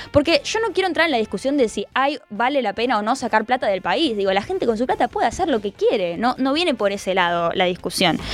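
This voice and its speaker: A woman speaks at a very fast pace with hardly any pauses. Her high pitch makes very wide swings. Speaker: radio host. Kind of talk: casual chat.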